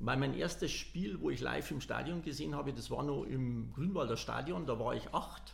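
A man at a moderate pace, with audible room echo. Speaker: football fan. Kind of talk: casual chat. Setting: large room.

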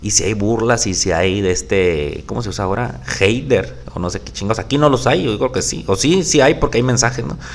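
A man at a moderate pace, fairly low-pitched with very wide pitch swings, in a room with audible echo. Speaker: podcast host. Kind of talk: casual solo podcast monologue. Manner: volume drops at times; halting, many fillers.

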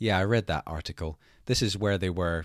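On a very clean recording with a silent background, a man with a Scottish accent speaks fairly quickly in a very deep, low pitch with ordinary pitch variation, the sound dry and close with no echo. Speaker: podcast host. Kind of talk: interview conversation.

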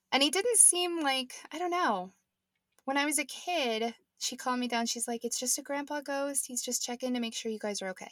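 Talking at a fairly quick pace in an American accent, a woman uses a high pitch and lively intonation. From Nebraska. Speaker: podcast co-host. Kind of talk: casual chat, podcast conversation. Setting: home closet recording.

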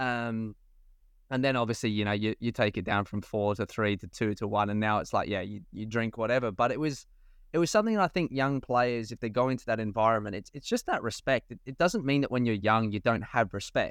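With an Australian accent, a man talks at medium pitch and a fairly quick pace, his pitch varying in an ordinary way over a quiet background. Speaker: professional footballer and podcast co-host. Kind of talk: casual chat.

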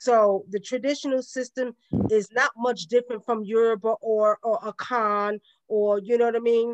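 A woman with a Brooklyn accent speaks at a fairly high pitch. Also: fairly even intonation, moderate pace. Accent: Brooklyn New York. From Brooklyn, New York. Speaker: spiritual elder. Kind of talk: interview.

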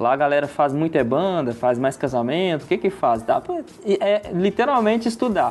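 Music plays in the background as a man speaks at a moderate pace. His high voice swings very widely in pitch while his loudness stays very even. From Brazil, Birigui area (São Paulo state). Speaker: wedding videographer. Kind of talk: casual interview chat.

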